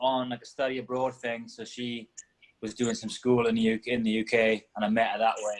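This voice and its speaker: Speaking with a Welsh accent, a man talks at medium pitch. His pace is moderate. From Wales. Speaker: CrossFit athlete. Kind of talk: casual interview.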